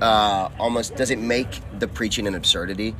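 Noticeable background noise sits behind a man with an American accent. He keeps a medium pitch, fairly even intonation and a moderate pace. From US South. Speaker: podcast host. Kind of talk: casual chat.

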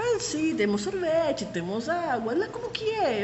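In a Spanish accent, a woman speaks at a moderate pace with very wide pitch swings, amid audible room echo and noticeable background noise. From Panama City area, Panama. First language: Spanish (speaking Portuguese). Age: 30s. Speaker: tour guide. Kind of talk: interview.

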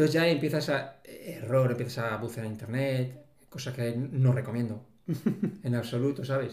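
With audible room echo, a somewhat breathy man at medium pitch talks at a moderate pace, with fairly even intonation and long, frequent pauses. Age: 50s. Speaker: civil servant living with multiple sclerosis. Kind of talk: interview.

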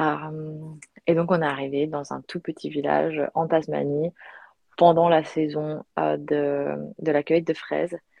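A woman speaks at a very slow pace in a very deep, low voice. Her intonation is monotone and flat. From Belgium. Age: 20s. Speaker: yoga retreat organizer. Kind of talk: casual interview. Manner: halting, with repetitions.

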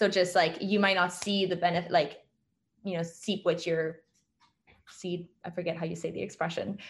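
Against a quiet background, a woman with a fairly low pitch and a somewhat breathy voice speaks at a moderate pace in a monotone, flat intonation, with long, frequent pauses. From France. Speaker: documentary filmmaker. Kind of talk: casual interview.

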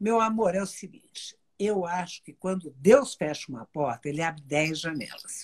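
Her voice swings very widely in pitch around a medium level. The woman speaks at a moderate pace and sounds somewhat breathy. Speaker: TV personality. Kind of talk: casual chat.

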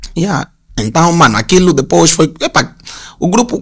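The voice is a plain, everyday voice with lively intonation. It moves at a moderate pace. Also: man. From Luanda, Angola (Sambizanga). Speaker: graphic designer. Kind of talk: casual interview chat.

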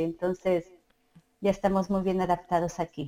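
On a very clean recording with a silent background, a woman speaks with a Mexico City accent. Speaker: mother and community group organizer. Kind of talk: interview.

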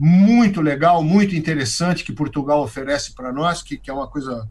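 This man's voice is fairly high in pitch. There is a somewhat breathy quality to it. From Brazil, interior of São Paulo state (Araraquara). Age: 60s. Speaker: veteran radio DJ and presenter. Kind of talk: casual interview chat.

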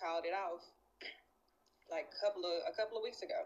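A woman's voice is heard. Its pitch moves with ordinary variation. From Nashville, Tennessee. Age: 30s. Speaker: guest. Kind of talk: casual chat.

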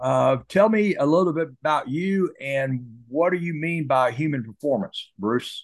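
Lively intonation from a man with a plain, everyday voice, at a fairly high pitch and fairly slow pace. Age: 60s. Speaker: podcast host. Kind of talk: casual interview.

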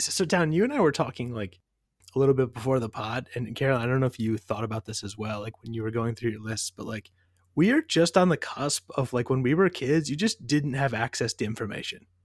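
With lively intonation, a man speaks in a normal speaking voice, the sound dry and close with no echo. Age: 30s. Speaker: podcast co-host. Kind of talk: casual chat. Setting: remote recording.

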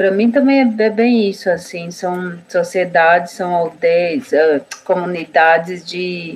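A woman with a fairly low pitch speaks very slowly, her pitch varying in an ordinary way. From Brazil, Guarani village in southern São Paulo. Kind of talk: casual interview conversation.

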